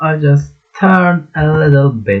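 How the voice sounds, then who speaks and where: A man with a Turkish accent and ordinary pitch variation. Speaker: student. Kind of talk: project presentation. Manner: halting.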